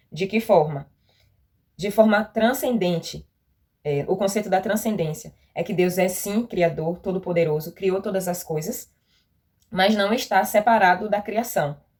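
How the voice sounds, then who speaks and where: A plain, everyday voice from a woman, medium in pitch with ordinary pitch variation. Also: fairly slow pace. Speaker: youth Bible lesson teacher. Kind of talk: Bible study teaching.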